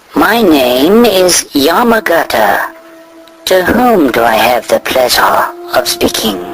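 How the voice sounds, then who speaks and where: A man puts on a high-pitched cartoonish character voice and speaks at a fairly slow pace over clear background music. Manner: formal, measured, precise.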